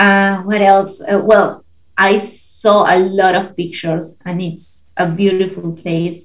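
Speaking very slowly with a Spanish accent, a woman has a somewhat breathy voice at a medium pitch. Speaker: podcast guest relocating abroad. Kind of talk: casual interview chat.

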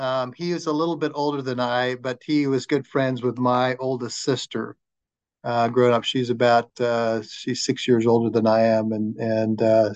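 A man speaks in a plain, everyday voice with an American accent, medium in pitch and fairly even in intonation. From Arizona, Flagstaff. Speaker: law society chapter chair, podcast interviewer. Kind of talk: interview.

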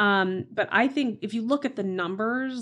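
With an American accent, a woman talks at a medium pitch with ordinary pitch variation in a plain, everyday voice. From Oklahoma, US. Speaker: real estate executive. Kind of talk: interview conversation.

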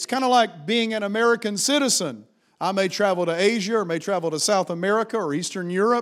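A man talks at a fairly quick pace. His pitch is high for a man. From Appalachia. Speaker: pastor. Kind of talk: sermon. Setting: church. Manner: animated.

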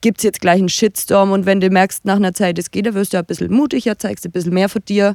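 With an Upper Franconian accent, a woman talks at a very fast pace and fairly even intonation. The sound is dry and close, without echo. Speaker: blogger. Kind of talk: casual chat. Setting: recorded at guest's home.

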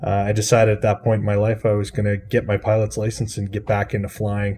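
A man's dark, mellow tone in a Canadian Prairies accent. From Saskatchewan, Canada. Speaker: aircraft broker. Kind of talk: interview.

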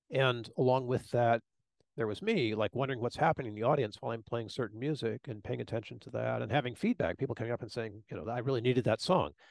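A man's very fast speech with vocal fry and ordinary pitch variation. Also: medium pitch for a man. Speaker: podcast co-host. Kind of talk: casual podcast conversation. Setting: video podcast recording.

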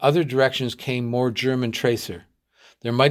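Someone is reading aloud in a natural voice with fairly even intonation over a quiet background.

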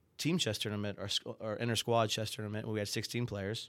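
On a very clean recording with a silent background, a man with an American accent speaks at a fairly quick pace. He has an unremarkable speaking voice, fairly low in pitch, with fairly even intonation. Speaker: chess coach and teacher. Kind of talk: casual chat.

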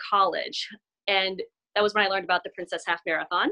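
A woman with an American accent, bright and sharp in tone, talking at a very fast pace, the sound dry and close with no echo. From Cambridge, Massachusetts, US. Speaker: amateur runner, running club member. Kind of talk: casual interview chat.

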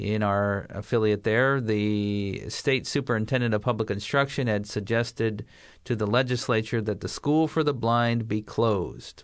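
The speaker has an ordinary speaking voice and a moderate pace. The background is quiet. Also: man, medium pitch for a man. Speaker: blind education administrator and parent. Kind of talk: interview.

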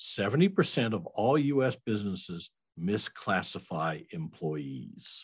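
Speaking in an American accent at a fairly slow pace, a man shows very wide pitch swings and vocal fry. The background is quiet. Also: fairly low pitch for a man. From US Midwest, Iowa. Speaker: payroll company CEO and CPA. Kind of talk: interview.

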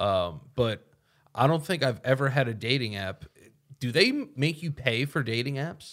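The man has a plain, everyday voice. He talks at a moderate pace with a medium pitch. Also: lively intonation, very clean recording, silent background. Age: 30s. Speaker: comedian. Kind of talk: casual chat.

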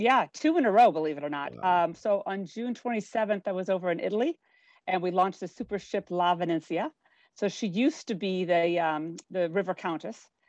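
An unremarkable speaking voice from a woman with an American accent, medium in pitch and fairly quick, in a dry, close sound with no echo and a quiet background. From US Pacific Northwest, Spokane, Washington. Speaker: cruise company executive. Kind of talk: interview.

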